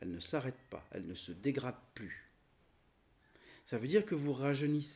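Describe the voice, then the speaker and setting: A man's fairly high voice with vocal fry, very wide pitch swings and long, frequent pauses. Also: moderate pace. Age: 60s. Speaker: spiritual teacher. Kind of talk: spiritual teaching talk. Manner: halting.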